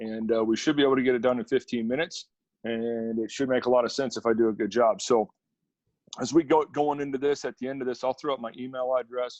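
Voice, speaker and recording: In an Upper Midwest accent, a man talks at a very fast pace with a medium pitch and fairly even intonation. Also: dry, close sound with no echo. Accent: Upper Midwest American. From central Wisconsin, Stevens Point. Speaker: college football defensive coordinator. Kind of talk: coaching clinic presentation.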